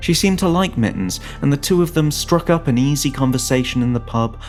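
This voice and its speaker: A man at a moderate pace with lively intonation, music in the background. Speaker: narrator. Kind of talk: fiction story narration.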